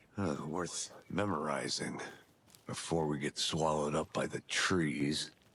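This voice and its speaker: The speaker uses a put-on character voice with fairly even intonation. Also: man, very deep, low pitch for a man, fairly slow pace. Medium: video game. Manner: dry, terse.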